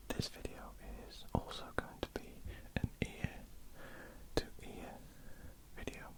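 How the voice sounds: Someone is whispering. It is a woman.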